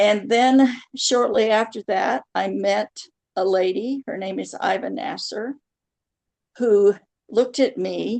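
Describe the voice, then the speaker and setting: Speaking at a very slow pace with long, frequent pauses, a woman uses a fairly high pitch and ordinary pitch variation. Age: 70s. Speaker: spiritual channeler. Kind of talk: interview.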